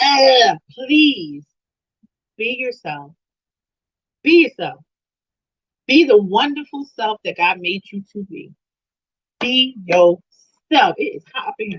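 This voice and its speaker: Loud and high, a woman speaks very slowly with very wide pitch swings and long, frequent pauses. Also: dry, close sound with no echo. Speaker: women's ministry live stream host. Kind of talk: motivational talk on a live stream. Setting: live stream. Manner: animated.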